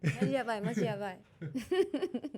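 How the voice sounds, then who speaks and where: This woman has a fairly high pitch and a dark, mellow tone, and she sounds playful. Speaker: ring announcer. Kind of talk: interview answer. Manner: casual, playful.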